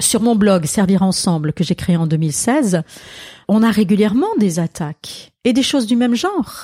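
This woman's medium-pitched voice has a dark, mellow tone and is somewhat breathy, with very wide pitch swings. The sound is dry and close, with no echo. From Alsace, France. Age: 60s. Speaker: pastor and author. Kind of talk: interview conversation.

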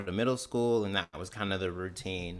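On a very clean recording with a silent background, a man with an American accent speaks in a bright, sharp tone. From Mississippi (Canton). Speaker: comedian. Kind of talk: interview.

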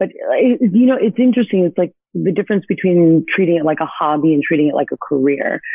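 A woman's medium-pitched voice, very fast and lively, with hardly any pauses. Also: very even loudness. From Miami, Florida (Hialeah). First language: Spanish. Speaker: actress. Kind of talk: interview.

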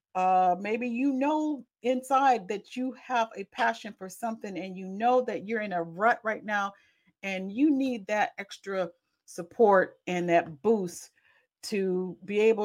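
On a very clean recording with a silent background, a woman at medium pitch speaks very slowly. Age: 40s. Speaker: podcast host and accountability coach. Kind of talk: solo podcast monologue, self-promotion. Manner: halting, many fillers; casual.

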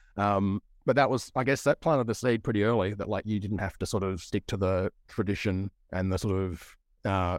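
With a dry, close sound and no echo, a man speaks at a moderate pace in a fairly low pitch. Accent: Australian. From Australia, Broken Hill, far west New South Wales. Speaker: indie horror author and publisher. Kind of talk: casual interview chat. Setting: remote call.

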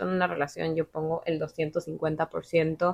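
A woman is speaking. Her pace is very slow. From Ecuador. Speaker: podcast guest, office worker and amateur painter. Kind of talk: casual chat. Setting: at the guest's home.

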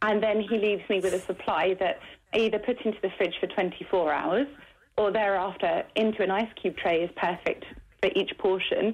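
A woman speaks at a moderate pace with a medium pitch. Her loudness stays very even against a quiet background. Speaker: interviewee. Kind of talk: interview. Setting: phone call. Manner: energetic.

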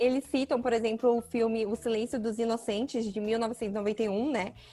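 Her fairly high voice carries a dark, mellow tone, and the woman speaks in a flat monotone. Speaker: podcast co-host. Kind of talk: casual chat.

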